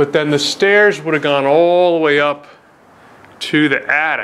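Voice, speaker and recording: A man at a fairly slow pace over light background noise. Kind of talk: casual exploration commentary. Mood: admiring, calm. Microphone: phone near.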